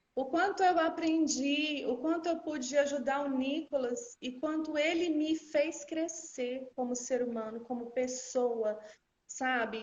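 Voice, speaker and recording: Speaking very slowly in a Minas Gerais accent, a woman uses a high pitch with ordinary pitch variation. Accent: Minas Gerais accent, rolled R noticeable. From Minas Gerais, Brazil (Uberlândia). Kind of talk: personal testimony in a live interview.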